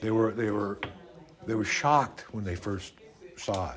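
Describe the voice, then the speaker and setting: A man at medium pitch and a fairly slow pace, with noticeable background noise. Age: 70s. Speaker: interviewee. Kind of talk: interview. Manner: halting, many repetitions.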